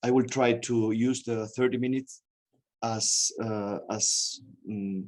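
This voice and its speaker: Very slow delivery in a Spanish accent, with long, frequent pauses and fairly even intonation. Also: man. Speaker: museum director. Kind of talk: lecture. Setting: video call. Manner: halting.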